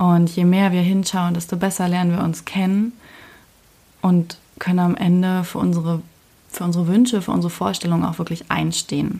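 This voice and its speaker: A woman speaks at a moderate pace with a fairly low pitch and a dark, mellow tone. Her somewhat breathy delivery is monotone and flat. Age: 20s. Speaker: podcast host. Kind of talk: personal monologue. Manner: casual, with filler sounds.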